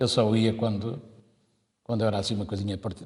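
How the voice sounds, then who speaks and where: A man's voice sits at medium pitch with a dark, mellow tone. It sounds somewhat breathy. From Portugal, Torres Vedras area (Ramalhal). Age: 70s. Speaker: musician, accordionist. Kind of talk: oral history interview.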